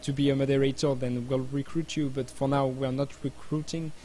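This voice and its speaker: Speaking in a French accent at a fairly quick pace, a man keeps his fairly high pitch in a monotone, flat intonation. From France. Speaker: game community streamer. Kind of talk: live stream chat. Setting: live stream. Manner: halting.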